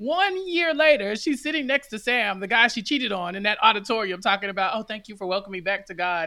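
A very fast pace with hardly any pauses. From Texas. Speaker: podcast guest, TV show fan. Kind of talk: casual chat.

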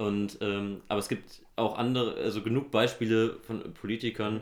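A man's monotone, flat delivery at a moderate pace. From Germany, Hesse (Nidderau, Main-Kinzig). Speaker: local politician and economist. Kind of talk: casual interview. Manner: halting, many fillers.

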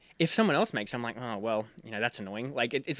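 Very fast speech from a man with an Australian accent, on a very clean recording with a silent background. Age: 20s. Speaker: sailing YouTuber. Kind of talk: casual chat.

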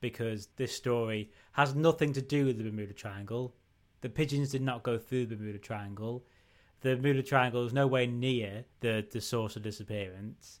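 A man with a northern English accent speaks at medium pitch and a moderate pace. His intonation is fairly even, on a very clean recording with a silent background. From northern England. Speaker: podcast co-host. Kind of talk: casual chat.

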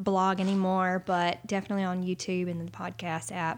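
In a very clean recording with a silent background, a woman speaks at a medium pitch with a Southern US accent. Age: 30s. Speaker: pastor. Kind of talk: casual chat.

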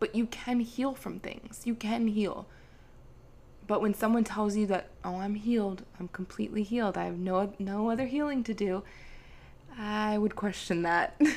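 Pitched fairly high, a woman talks in an ordinary speaking voice. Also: ordinary pitch variation, moderate pace. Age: 20s. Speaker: spiritual wellness podcaster and Reiki healer. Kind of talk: casual solo podcast monologue.

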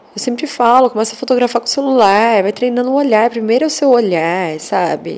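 Noticeable background noise surrounds a woman speaking in an animated tone with ordinary pitch variation. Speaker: podcaster. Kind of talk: casual monologue. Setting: lying in bed in the dark.

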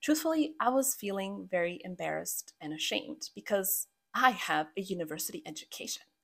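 A medium-pitched woman's voice in a Croatian accent, fairly quick, with very wide pitch swings and big swings in loudness. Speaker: podcast host and habit coach. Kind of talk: solo podcast monologue.

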